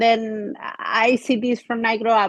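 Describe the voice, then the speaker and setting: Very slow, flat, monotone speech with an Andalusian accent over a quiet background. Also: woman. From Spain. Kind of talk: podcast conversation.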